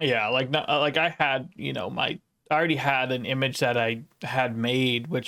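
Against a silent background in a very clean recording, a man with an unremarkable speaking voice talks at a medium pitch and a moderate pace. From United States. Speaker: podcast host and streamer. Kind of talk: casual chat.

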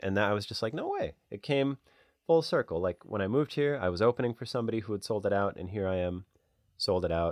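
A man with an American accent speaks very fast in a fairly low voice with lively intonation. The recording is very clean, dry, and close, with a silent background and no echo. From US Midwest. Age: 30s. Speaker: comedian. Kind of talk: casual chat. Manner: animated.

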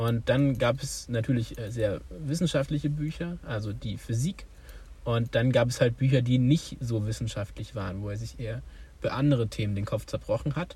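A man's dark, mellow, somewhat breathy voice at a medium pitch, moderate pace, and ordinary pitch variation. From Thuringia, Germany (village near Weimar). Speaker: podcast co-host. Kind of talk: casual chat.

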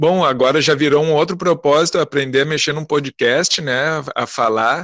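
A man with a fairly high pitch and ordinary pitch variation, in a dry, close sound with no echo. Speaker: storytelling circle representative. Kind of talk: casual interview. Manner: slow; drawling.

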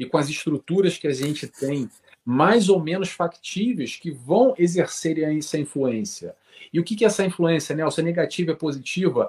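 A man with a high pitch and lively intonation talks at a moderate pace, the sound dry and close with no echo. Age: 40s. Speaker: spiritist study group leader. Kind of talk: casual chat.

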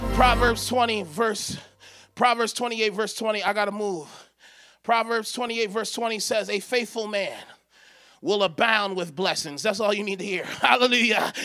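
Raised and projected, a man's high-pitched voice sounds bright, sharp and animated. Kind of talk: sermon, preacher in full flow, prophetic declarations to congregation. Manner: emphatic, rhythmic, exhorting, call-and-response urging the crowd to say amen; animated, commanding, repeating declarations with rising intensity.

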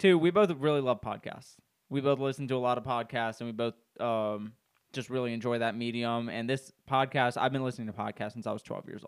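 On a very clean recording with a silent background, a man in a normal speaking voice talks fairly quickly at medium pitch with ordinary pitch variation. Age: 20s. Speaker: podcast co-host. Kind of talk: casual chat.

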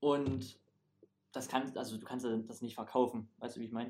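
A man is speaking. His pace is very fast. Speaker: stage performer at a holiday camp. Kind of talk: casual chat.

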